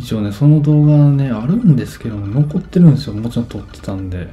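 A man races along very fast with lively intonation while noticeable background noise plays behind him. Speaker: game streamer. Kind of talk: casual gameplay commentary. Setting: echoey room, like a bathroom.

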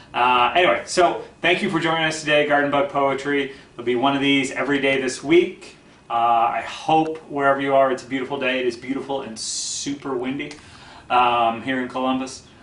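Here a man talks at a fairly quick pace with fairly even intonation. There is audible room echo. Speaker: poetry show host. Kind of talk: casual talk to young viewers. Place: home room.

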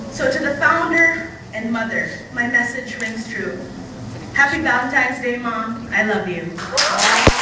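Amid loud background noise and audible room echo, a woman speaks at a fairly slow pace with long, frequent pauses. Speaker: university student poet. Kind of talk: spoken word poem performed live. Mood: warm, playful, affectionate. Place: hall. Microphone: camera far.

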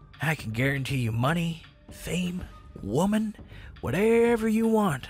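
Over clear music in the background, a put-on character voice speaks at a fairly slow pace. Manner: smooth, persuasive, menacing.

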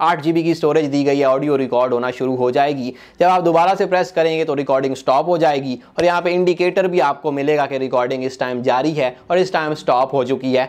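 Ordinary pitch variation from a man speaking at a moderate pace. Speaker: tech reviewer. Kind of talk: product review. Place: studio. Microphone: lapel.

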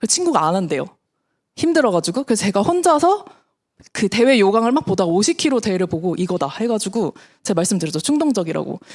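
Talking very fast, a woman swings her medium pitch very widely. The recording is very clean, with a silent background. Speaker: network marketing distributor. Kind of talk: business presentation to audience.

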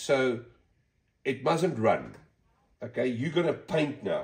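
A man talks at a very slow pace, and the background stays quiet. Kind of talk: tutorial. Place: workshop. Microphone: phone near.

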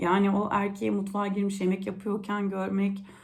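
A woman speaks at a moderate pace and medium pitch. Her voice is somewhat breathy. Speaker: youtuber. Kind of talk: casual monologue.

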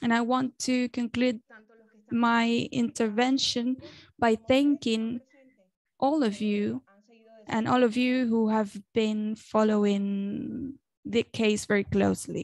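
Someone with a Spanish accent speaks very slowly in a flat monotone, with long, frequent pauses and very even loudness. The sound is dry, with no echo. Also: woman, fairly high pitch for a woman. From Venezuela. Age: young. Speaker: journalist and activist; journalist. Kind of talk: speech at an online event. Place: home room. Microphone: earbuds.

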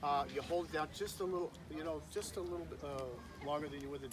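The voice moves at a fairly quick pace against noticeable background noise. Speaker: uniformed reenactor demonstrating telegraph. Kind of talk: friendly demonstration to a child. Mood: warm, slightly apologetic. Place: open country.

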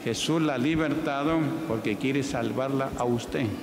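Loud background noise accompanies speech delivered at a moderate pace. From Peru. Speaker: pastor. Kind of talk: church healing testimonies. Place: church. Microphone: handheld.

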